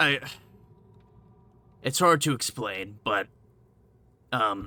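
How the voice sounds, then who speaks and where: Using a raspy, put-on character voice, a man speaks at a very slow pace in a medium pitch with lively intonation. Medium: actual play. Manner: hesitant, stammering, defensive.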